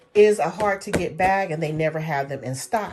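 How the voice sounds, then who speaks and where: A woman speaks. Her tone is animated. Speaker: beauty and fashion vlogger. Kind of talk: unboxing haul video, casual talk to camera. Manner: animated, gushing.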